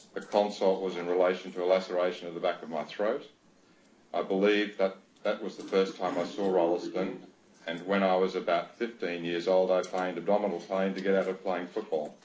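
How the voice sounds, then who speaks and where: Fairly quick and monotone, a man with an Australian accent speaks in a very deep, low pitch with flat intonation. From Australia, Sydney. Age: 60s. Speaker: doctor, inquiry witness. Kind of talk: reading aloud a witness statement. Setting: video link to a hearing. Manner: formal.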